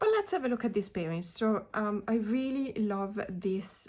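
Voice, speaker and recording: A woman speaks with a non-native accent. Her pitch is medium and her pace is moderate. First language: not English. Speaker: tarot reader. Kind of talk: casual video talk about tarot decks. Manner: hesitant, many fillers.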